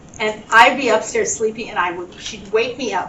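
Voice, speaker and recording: A woman's fairly high-pitched voice amid noticeable background noise and audible room echo. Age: 70s. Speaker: family elder sharing family history. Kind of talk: storytelling at family gathering. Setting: family reunion gathering.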